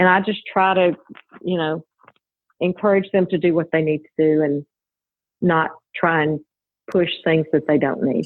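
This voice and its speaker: A woman in a Southern US accent, fairly low-pitched, at a moderate pace with fairly even intonation and long, frequent pauses. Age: 50s. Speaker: registered nurse and cosmetic business owner. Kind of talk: podcast interview. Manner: calm.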